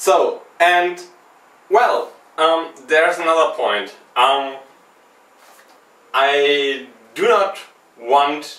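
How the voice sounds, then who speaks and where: A man speaks with a non-native accent. There is audible room echo. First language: not English. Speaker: video game podcast host. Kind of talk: unedited solo vlog commentary. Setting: speaking to camera. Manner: halting, with ums and long pauses.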